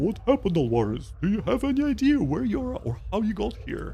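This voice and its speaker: A man talks at a fairly quick pace in a put-on character voice, with clear background noise behind him. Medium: game stream. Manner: resolute.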